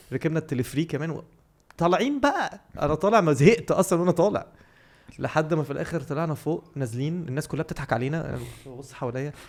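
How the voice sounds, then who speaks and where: A man talks at a fairly quick pace with fairly high pitch and an animated tone. His pitch variation is ordinary. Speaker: podcast co-host. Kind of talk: casual chat. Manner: animated storytelling.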